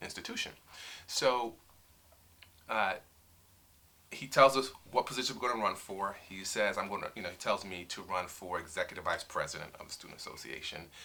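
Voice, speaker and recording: A man with a New York accent at a fairly quick pace. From New York, South Bronx. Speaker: attorney. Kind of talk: interview. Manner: hesitant, many fillers.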